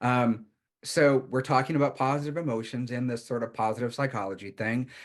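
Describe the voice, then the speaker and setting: Against a quiet background, a man talks at a fairly quick pace in an unremarkable speaking voice, medium in pitch with fairly even intonation. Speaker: counselor and workshop teacher. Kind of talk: workshop lecture.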